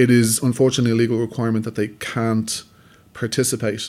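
A man's medium-pitched voice with a Dublin accent and monotone, flat intonation. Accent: Dublin Irish. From Dublin, Ireland. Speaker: filmmaker. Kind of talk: interview.

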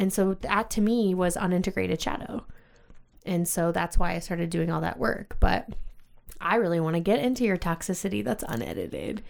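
With lively intonation and vocal fry, a woman speaks at a fairly low pitch. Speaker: podcast host. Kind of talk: casual chat. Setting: studio.

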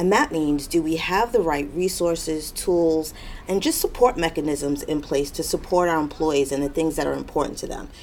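At a moderate pace and with hardly any pauses, a woman talks in a very deep, low pitch with ordinary pitch variation. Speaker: corporate diversity director. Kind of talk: interview answers.

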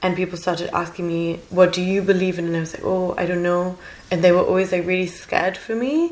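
A woman's medium-pitched voice, monotone and flat, at a very fast pace over noticeable background noise. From Germany. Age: 20s. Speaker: podcast guest, master's student and journalist. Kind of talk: casual chat interview.

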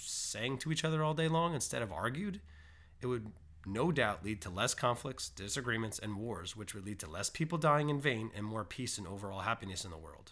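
A man talks at a fairly quick pace with lively intonation and medium pitch, in a plain, everyday voice. The recording is very clean, with a silent background. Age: 30s. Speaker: music podcast host. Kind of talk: solo podcast monologue.

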